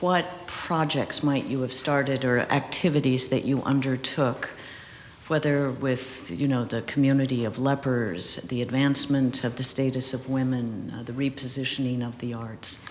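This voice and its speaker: The speaker is soft-spoken and keeps a moderate pace. Noticeable background noise is present. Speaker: interviewer. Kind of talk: interview. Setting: stage with audience.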